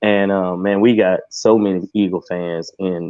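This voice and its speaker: Someone speaks with a Texan accent in a monotone, flat intonation. The pace is moderate. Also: man. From Texas. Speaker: Cowboys fan, Q&A guest. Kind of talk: casual sports chat. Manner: halting.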